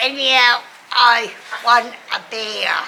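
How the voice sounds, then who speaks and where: A woman with an Australian accent talks at a fairly high pitch over noticeable background noise. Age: 80s+. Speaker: older public housing resident. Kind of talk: interview. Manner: halting.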